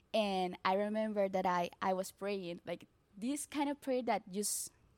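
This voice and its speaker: A woman with a Colombian accent speaks fairly slowly at medium pitch with ordinary pitch variation, in a very clean, dry, close recording with no echo and a silent background. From Colombia, Barranquilla. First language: Spanish. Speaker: church member sharing testimony. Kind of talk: testimony.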